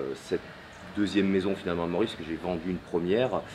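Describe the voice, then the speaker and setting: A man speaks with a very deep, low pitch and fairly even intonation over light background noise. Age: 30s. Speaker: property dealer; interviewee. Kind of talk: interview. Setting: at home during building work. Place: garden. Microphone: camera far.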